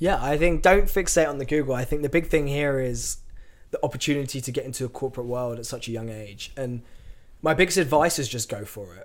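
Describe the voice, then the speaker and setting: In an English accent, a man talks very fast at a fairly high pitch, with ordinary pitch variation and big swings in loudness. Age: 20s. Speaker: tech company employee and agency owner. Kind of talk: casual interview.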